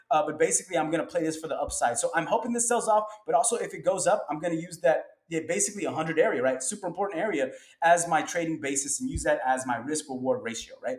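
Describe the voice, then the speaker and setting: Speaking at a very fast pace, a man uses a high pitch and lively intonation. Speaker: stock market commentator. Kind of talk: tutorial. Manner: casual.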